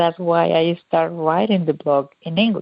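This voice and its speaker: Speaking at a moderate pace, a woman with a Mexican accent uses a fairly low pitch. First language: Spanish. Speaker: cook and food blogger. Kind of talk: interview. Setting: radio interview. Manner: halting.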